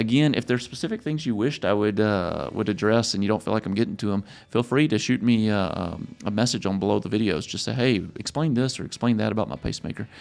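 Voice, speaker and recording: With a strong Louisiana accent, a man talks very fast with hardly any pauses, at a fairly low pitch with ordinary pitch variation, against a quiet background. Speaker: pacemaker clinician, educator. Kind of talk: tutorial. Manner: casual, filler-heavy.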